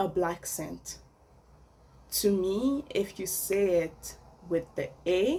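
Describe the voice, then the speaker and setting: Long, frequent pauses mark this woman's speech. She has a non-native accent and talks at a very slow pace. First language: French. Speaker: vlogger. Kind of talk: casual opinion monologue.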